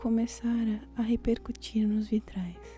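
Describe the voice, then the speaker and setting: Over music in the background, the soft-spoken whispering comes very slowly and in a gentle tone. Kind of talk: soft-spoken ASMR poetry reading for sleep. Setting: studio with quiet classical piano music in background. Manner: soft, whispered, gentle.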